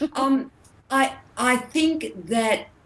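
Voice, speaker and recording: This is a woman speaking. She talks with an Australian accent. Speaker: entrepreneur. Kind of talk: casual interview chat. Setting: video call.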